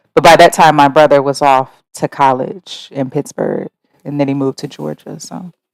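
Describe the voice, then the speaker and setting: A woman with vocal fry and a very deep, low pitch speaks at a moderate pace with ordinary pitch variation and big swings in loudness, in a dry, close sound with no echo. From US Midwest, Ohio (Mansfield). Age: 30s. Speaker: interviewee telling her life story. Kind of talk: life story interview. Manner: reflective, hesitant with fillers.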